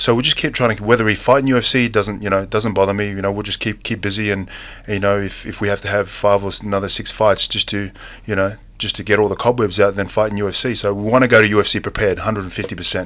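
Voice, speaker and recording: A man speaks at a very fast pace in a fairly low pitch. His intonation is monotone and flat. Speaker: professional mixed martial arts fighter. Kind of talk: radio interview. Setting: radio studio. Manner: laid back, casual; halting, many fillers and repeats.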